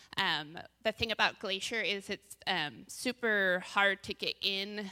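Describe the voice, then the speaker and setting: A woman with an American accent, bright, sharp tone and fairly even intonation, in a dry, close sound with no echo. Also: very clean recording, silent background. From US Northwest, Bend, Oregon. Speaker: church women's panelist. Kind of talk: testimony.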